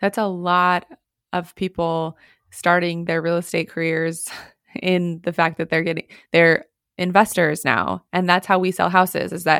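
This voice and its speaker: A woman's unremarkable speaking voice, fairly low in pitch, at a moderate pace over a silent background in a very clean recording. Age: 30s. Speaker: real estate brokerage co-founder and podcast co-host. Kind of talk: casual chat.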